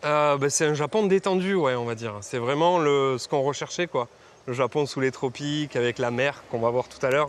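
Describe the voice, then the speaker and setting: Keeping a moderate pace, a man shows ordinary variation in his pitch. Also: fairly high pitch for a man. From southwest France, Marmande. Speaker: dive instructor. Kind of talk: casual chat.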